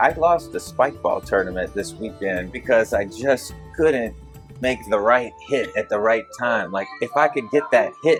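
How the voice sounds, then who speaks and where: Music plays in the background as a man talks at a fairly slow pace in a warm, relaxed tone. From Mobile, Alabama. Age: 40s. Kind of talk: interview answer. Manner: warm, relaxed, humorous.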